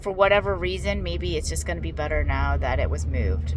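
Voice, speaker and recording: Audible room echo and noticeable background noise surround a woman's speech. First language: not English. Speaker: vlogger sharing surgery recovery. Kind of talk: casual video diary. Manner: halting, many fillers.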